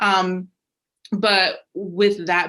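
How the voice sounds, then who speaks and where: A woman's bright, sharp voice at medium pitch, with an American accent. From Jamaica and Massachusetts, US. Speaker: youth worker and educator. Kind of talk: webinar presentation. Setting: video call. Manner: frequent filler ums, some halting.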